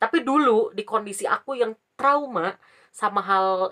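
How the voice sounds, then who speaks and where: Her intonation moves in a lively way. The woman's pitch is medium. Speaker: vlogger. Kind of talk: casual storytelling vlog. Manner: casual, chatty.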